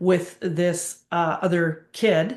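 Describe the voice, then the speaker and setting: The woman's voice sits fairly low in pitch. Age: 60s. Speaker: medium and tarot reader. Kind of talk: interview.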